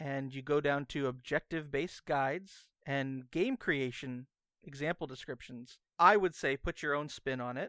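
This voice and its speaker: In a very clean recording with a silent background and a dry, close sound with no echo, a man with a plain, everyday voice speaks at a moderate pace in a fairly high pitch with fairly even intonation. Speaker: podcast co-host. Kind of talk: casual banter podcast chat. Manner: joking, playful.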